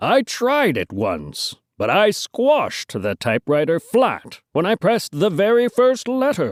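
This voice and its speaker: Putting on a character voice with a high pitch, a man talks at a fairly slow pace with hardly any pauses on a very clean recording with a silent background. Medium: read story. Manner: folksy, drawling.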